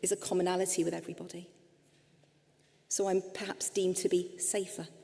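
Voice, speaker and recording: Speaking fairly quickly in a medium pitch, a woman with an English accent is heard over noticeable background noise. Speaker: psychotherapist and speaker. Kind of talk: lecture.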